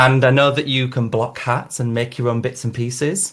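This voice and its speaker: A man talks at medium pitch with a northern English accent. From northern England, Leeds. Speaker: podcast host, fashion designer and drag queen. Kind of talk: casual interview chat.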